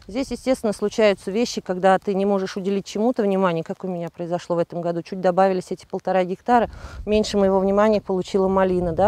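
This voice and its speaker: In a dry sound with no echo, a woman talks very fast in a dark, mellow tone. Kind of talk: interview answer. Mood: candid, lightly self-mocking. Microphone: lapel.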